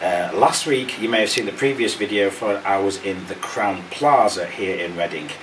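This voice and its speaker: Noticeable background noise sits behind a man's voice. His pitch is fairly low, with ordinary variation. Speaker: travel vlogger. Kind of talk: hotel review vlog.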